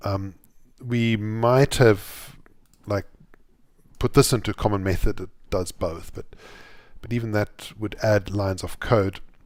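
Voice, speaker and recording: A man speaks at a fairly low pitch and a fairly slow pace, with fairly even intonation. He takes long, frequent pauses on a very clean recording with a silent background. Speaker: Java programmer streaming live coding. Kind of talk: live coding tutorial. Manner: halting, many repeated words and fillers.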